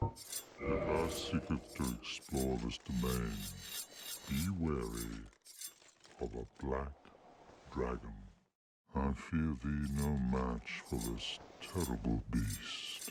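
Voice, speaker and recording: A man's put-on character voice, very deep and low in pitch, very slow, with long, frequent pauses. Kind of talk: archaic fantasy speech. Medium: video game. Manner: slow, measured.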